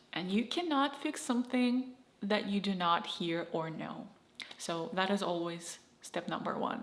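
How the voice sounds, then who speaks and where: Speaking in a Russian accent, a woman moves at a fairly slow pace with lively intonation. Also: medium pitch for a woman. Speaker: YouTuber. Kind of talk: casual talk to camera.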